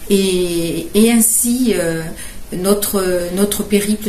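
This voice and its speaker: Ordinary pitch variation marks a woman's speech, heard with audible room echo and noticeable background noise. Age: 70s. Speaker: caregiver and charity fundraiser. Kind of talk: presentation. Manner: halting, with many hesitations.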